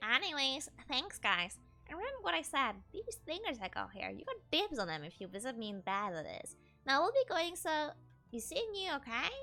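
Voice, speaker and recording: Faint music plays in the background. A woman puts on a strained character voice at a moderate pace. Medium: virtual streamer. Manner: chatty, salesy, friendly yet aggravating.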